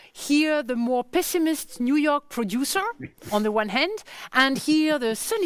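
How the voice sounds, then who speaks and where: With a French accent, a woman speaks at a fairly slow pace in a high voice that swings very widely in pitch. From France. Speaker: conference curator. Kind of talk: panel interview. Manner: halting.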